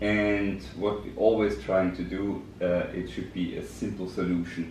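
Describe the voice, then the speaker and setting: A man with a German accent and a very deep, low pitch speaks at a fairly slow pace amid audible room echo. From Germany. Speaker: business director. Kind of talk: podcast interview. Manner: hesitant, many fillers.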